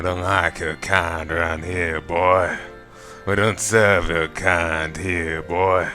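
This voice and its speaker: A man's put-on character voice in a Southern US accent, very deep and low, monotone and flat at a very slow pace, with clear music in the background. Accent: southern American. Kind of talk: drawling. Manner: menacing.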